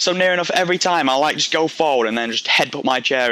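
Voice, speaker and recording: Against noticeable background noise, a man with a Yorkshire accent speaks at a fairly quick pace. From Yorkshire, northern England. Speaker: gaming commentator. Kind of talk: gameplay commentary. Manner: rambling, casual, halting with restarts.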